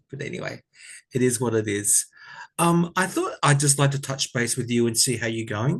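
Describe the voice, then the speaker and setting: A man speaks in an Australian accent, his voice somewhat breathy. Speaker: tarot reader. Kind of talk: casual chat. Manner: soft-spoken.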